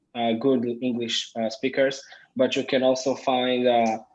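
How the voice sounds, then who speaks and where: A man speaks with an Israeli accent at a moderate pace. His pitch sits in the medium range. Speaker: business owner. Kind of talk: interview. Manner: halting.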